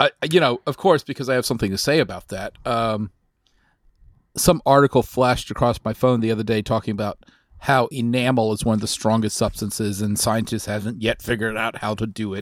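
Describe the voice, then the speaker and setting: A man's medium-pitched voice with an American accent, an unremarkable speaking voice with ordinary pitch variation, in a very clean recording with a silent background. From Texas. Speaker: podcast co-host. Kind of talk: casual chat.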